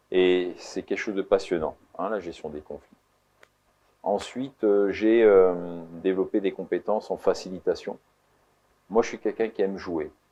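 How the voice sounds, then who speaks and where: Speaking at a fairly slow pace with long, frequent pauses, a man with a dark, mellow tone keeps his intonation fairly even while his loudness swings widely. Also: fairly low pitch for a man. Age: 60s. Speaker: entrepreneur and mediator. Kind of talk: interview. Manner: hesitant, many fillers.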